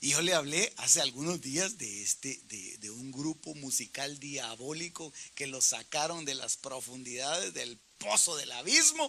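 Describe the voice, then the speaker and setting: In an ordinary speaking voice, a man talks at a fairly slow pace with a fairly high pitch, ordinary pitch variation and big swings in loudness. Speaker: pastor teaching Bible study. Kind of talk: Bible study teaching.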